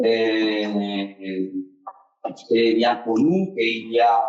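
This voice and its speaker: A man speaks at medium pitch with ordinary pitch variation, leaving long, frequent pauses. Room echo is audible. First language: Spanish (speaking French). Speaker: wine laboratory director. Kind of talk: conference presentation. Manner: halting, many hesitations.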